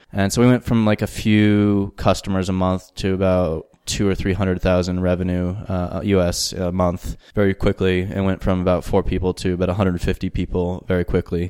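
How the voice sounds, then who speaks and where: A man with a Southwestern US accent speaks in a very deep, low voice with a dark, mellow tone and monotone, flat intonation. He goes at a fairly quick pace with hardly any pauses, on a very clean recording with a silent background. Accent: American, Southwestern. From US Southwest, New Mexico. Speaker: startup managing director. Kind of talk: interview.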